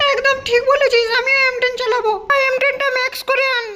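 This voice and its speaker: Extremely high in pitch, a put-on character voice moves at a fairly quick pace with monotone, flat intonation. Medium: fan dub. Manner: commanding.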